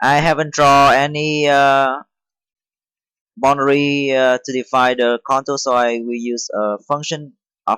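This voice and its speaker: A man's bright, sharp tone at medium pitch, fairly slow and fairly even in intonation, with a dry, close sound and no echo. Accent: non-native. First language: not English. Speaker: CNC machining tutorial maker. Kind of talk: software tutorial. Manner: halting, many fillers.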